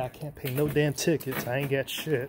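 A man's intonation stays fairly even as he speaks amid noticeable background noise. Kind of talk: casual vlog chat. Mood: wary, hushed, a bit nervous. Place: empty room. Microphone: phone near.

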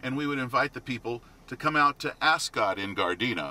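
This man's voice sits at a medium pitch with lively intonation. The sound is dry, with no echo. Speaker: radio commercial voice for a racetrack, track official. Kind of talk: casual interview answer, reminiscing about a racetrack. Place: car.

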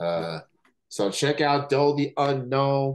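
The man speaks with lively intonation. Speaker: interview host. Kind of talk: casual interview. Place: home room. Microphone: video call.

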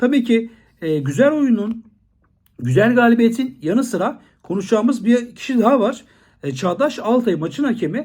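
Extremely high-pitched, a man speaks in an animated tone with lively intonation. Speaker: football commentator. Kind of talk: monologue video commentary.

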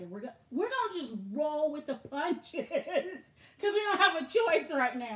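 Her pitch swings very widely. The woman keeps a fairly quick pace. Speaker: handbag vlogger. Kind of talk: casual live stream chat. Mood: amused, easygoing. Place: home room. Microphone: webcam.

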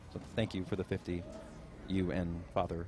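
Over light background noise, a man speaks in a somewhat breathy voice, the sound dry with no echo. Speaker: charity stream co-host. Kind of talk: casual live stream chat. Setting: live event venue with audience. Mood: grateful, casual. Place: home room.

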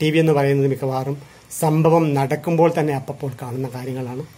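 A man speaks in a fairly high, somewhat breathy voice. His intonation stays fairly even. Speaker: retired journalist. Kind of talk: lecture. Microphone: phone near.

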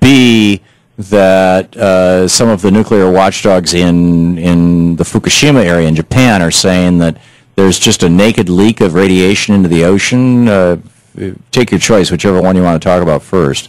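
At a moderate pace and with ordinary pitch variation, the voice comes through with a dry sound, no echo and a quiet background. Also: man, very deep, low pitch for a man. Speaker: talk radio host. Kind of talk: interview. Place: studio. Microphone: studio mic.

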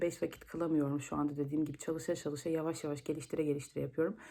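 With a dark, mellow tone, a woman speaks at a very fast pace. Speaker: vlogger. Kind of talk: vlog monologue. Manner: hesitant, many filler sounds.

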